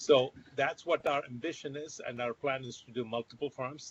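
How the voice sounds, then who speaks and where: This is an unremarkable speaking voice from a man. His intonation is fairly even. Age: 60s. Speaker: company founder and CEO. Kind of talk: virtual interview.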